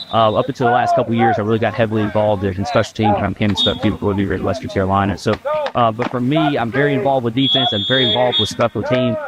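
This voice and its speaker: Over noticeable background noise, a man with an American accent talks very fast. His medium-pitched voice shows ordinary pitch variation. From Virginia. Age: 30s. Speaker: college football head coach. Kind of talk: interview.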